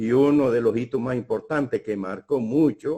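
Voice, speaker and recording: Using a dark, mellow tone, a man talks at a moderate pace with ordinary pitch variation. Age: 70s. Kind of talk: public talk. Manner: halting.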